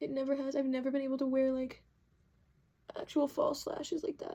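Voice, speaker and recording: A soft-spoken woman talks at a very fast pace. Her voice is high in pitch, with a dark, mellow tone. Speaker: makeup artist. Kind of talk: tutorial. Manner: casual, filler-heavy.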